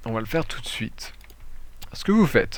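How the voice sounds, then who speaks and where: A man's voice with audible echo from the room. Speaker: gaming youtuber. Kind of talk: gameplay tutorial commentary. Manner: hesitant, many fillers.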